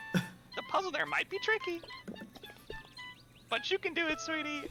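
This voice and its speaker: Someone performs a high-pitched put-on character voice with clear background noise behind it. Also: moderate pace. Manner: sweet, encouraging.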